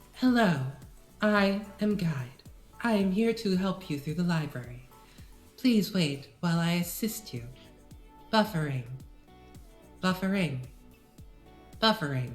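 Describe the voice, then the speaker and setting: A robotic, female-sounding put-on character voice speaks at a moderate pace and medium pitch with long, frequent pauses, while faint music plays in the background. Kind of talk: flat, formal.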